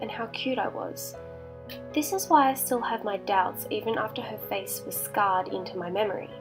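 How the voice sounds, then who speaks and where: Fairly quick speech over music in the background. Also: woman. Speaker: horror story narrator. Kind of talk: horror story narration.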